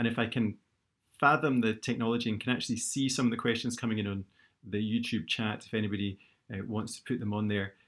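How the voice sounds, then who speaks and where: In a very clean recording with a silent background, a man with a Scottish accent talks at a very fast pace, his medium pitch holding fairly even intonation. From Scotland, Glasgow. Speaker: orthopaedic knee surgeon. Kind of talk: lecture. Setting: live YouTube stream.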